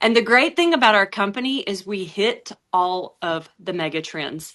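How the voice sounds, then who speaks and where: A woman speaks with an Alabama accent and a bright, sharp tone. Her pace is moderate and the background is quiet. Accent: Southern US (Alabama). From US South. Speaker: network marketing presenter. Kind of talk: sales pitch.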